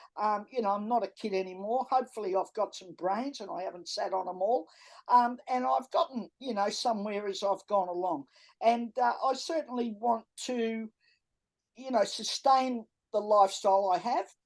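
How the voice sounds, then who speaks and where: A woman with an Australian accent speaks at a moderate pace and fairly high pitch, with ordinary pitch variation against a quiet background. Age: 70s. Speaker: entrepreneur and author. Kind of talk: podcast interview. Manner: straight-talking.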